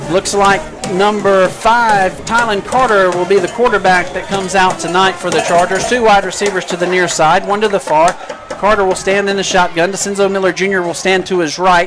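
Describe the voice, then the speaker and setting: Amid noticeable background noise and audible room echo, a man with a high pitch talks at a fairly quick pace with fairly even intonation. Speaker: play-by-play announcer. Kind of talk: live commentary. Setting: press box above stadium crowd. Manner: loud, yelling.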